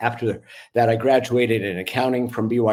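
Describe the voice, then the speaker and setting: This man has an ordinary speaking voice, talking at a fairly quick pace with fairly even intonation on a very clean recording with a silent background. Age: 60s. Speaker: retired orthopedic surgeon, bereaved father. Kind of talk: podcast interview, personal story.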